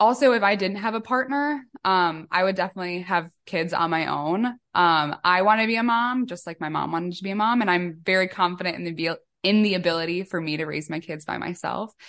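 A woman with a Midwestern accent speaks at a fairly quick pace with hardly any pauses, at medium pitch with ordinary pitch variation. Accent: American Midwest. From US Midwest, Chicago. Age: 20s. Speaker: author and donor-conception advocate. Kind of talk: podcast interview.

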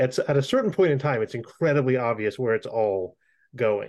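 With an American accent, a man talks in an ordinary speaking voice at a medium pitch with lively intonation over a quiet background. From US, Florida. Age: 30s. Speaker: podcast host. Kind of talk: scripted narration; casual chat.

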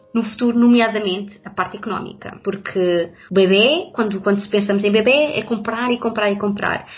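Speaking fairly quickly with hardly any pauses, a woman at medium pitch uses ordinary pitch variation in a European Portuguese accent. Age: 30s. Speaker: social worker, pregnant guest. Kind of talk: casual chat.

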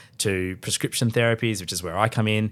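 A man's fairly low voice at a very fast pace with ordinary pitch variation, in a very clean recording with a silent background. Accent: Australian. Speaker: dermatologist. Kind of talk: interview. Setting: hotel room at a conference.

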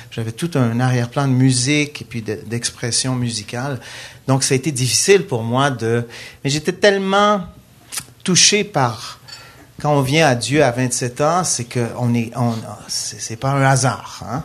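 Talking at a fairly slow pace, a man of medium pitch uses ordinary pitch variation and takes long, frequent pauses. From Quebec. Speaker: worship leader and musician. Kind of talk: panel discussion. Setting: stage with audience.

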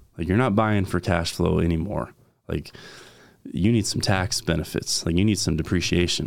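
A man with an American accent, very deep and low in pitch, with ordinary pitch variation. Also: moderate pace. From US West Coast, San Diego County, California. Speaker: real estate investor, former door-to-door sales rep. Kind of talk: casual interview chat. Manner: animated.

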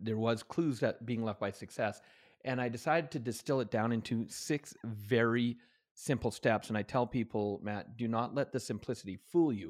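In a Canadian accent, a man talks at a fairly quick pace with a medium pitch and ordinary pitch variation. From Canada. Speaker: author and motivational trainer. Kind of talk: podcast interview. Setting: remote call from home. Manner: animated.

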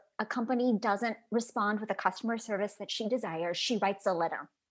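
In an ordinary speaking voice, a woman with an American accent talks at a fairly high pitch with ordinary pitch variation. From US Midwest, Chicago suburbs. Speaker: actress. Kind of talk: casual chat. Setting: video call.

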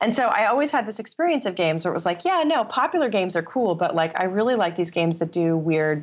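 Lively intonation runs through speech delivered in a New York State accent. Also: woman. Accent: American (New York State). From upstate New York. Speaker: game designer and professor. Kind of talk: interview.

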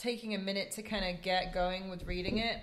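A woman speaks with an English accent in a bright, sharp tone. Room echo is audible. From England. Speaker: podcast co-host. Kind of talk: casual chat about books.

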